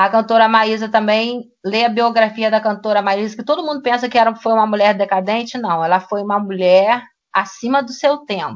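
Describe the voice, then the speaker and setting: At a moderate pace, a woman speaks in a normal speaking voice, fairly high in pitch with ordinary pitch variation. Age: 50s. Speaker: history teacher. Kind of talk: casual discussion podcast.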